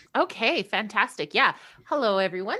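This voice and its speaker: A woman's bright, sharp voice in a Canadian accent. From Canada. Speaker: aspiring novelist. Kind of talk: casual chat.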